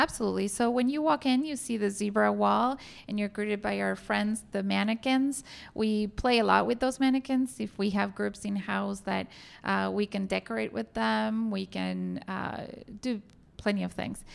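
A woman talks at a moderate pace with a Spanish accent. The recording is very clean, with a silent background. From Argentina. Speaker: hotel general manager. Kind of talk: interview. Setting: hotel meeting room.

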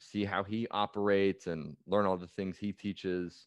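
Very deep, low male voice in a Californian accent, monotone and flat, with a dry, close sound, no echo and a quiet background. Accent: Californian American. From US West Coast, San Francisco Bay Area. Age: 20s. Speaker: performance coach. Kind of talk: interview.

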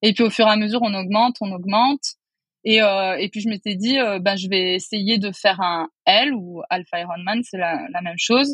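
This woman has a normal speaking voice, medium in pitch, with ordinary pitch variation at a moderate pace. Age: 30s. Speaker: architect and property investor. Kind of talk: casual interview.

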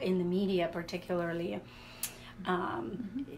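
In a room with audible echo, a woman talks at a moderate pace and medium pitch with fairly even intonation. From Latvia. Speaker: social work professor and author. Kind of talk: radio interview. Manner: halting, many fillers.

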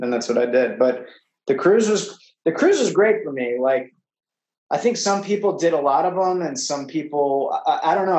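A man with an ordinary speaking voice keeps a moderate pace while his intonation stays lively. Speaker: actor and teacher. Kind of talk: casual interview chat.

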